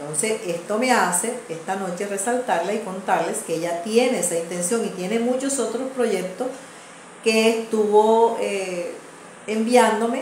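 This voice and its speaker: A woman with a fairly high voice talks at a fairly slow pace, her pitch varying in an ordinary way, with audible room echo and noticeable background noise. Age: 60s. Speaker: channel host and community advocate. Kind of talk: casual video monologue.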